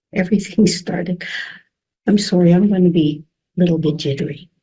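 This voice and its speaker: A somewhat breathy woman's voice in a Canadian Prairies accent, fairly low-pitched with a dark, mellow tone, ordinary pitch variation, moderate pace and long, frequent pauses. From Saskatchewan, Canada (Regina). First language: French. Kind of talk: personal testimony. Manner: halting.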